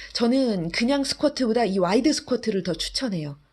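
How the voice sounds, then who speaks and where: Lively intonation colors a woman's moderately paced speech. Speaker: fitness instructor. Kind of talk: guided workout instruction, giving exercise cues. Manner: calm, steady, encouraging; imperative, rhythmic cueing in short phrases.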